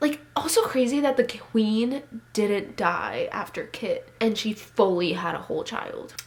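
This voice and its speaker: A woman speaks at a fairly slow pace in an animated tone with a high pitch, with noticeable background noise. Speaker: booktuber. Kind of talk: casual vlog chat.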